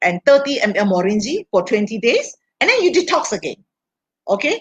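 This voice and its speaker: A woman speaks in a fairly high, somewhat breathy voice with very wide pitch swings. The sound is dry and close, with no echo. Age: 60s. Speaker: health products expert. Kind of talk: live-stream Q&A talk. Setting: live stream.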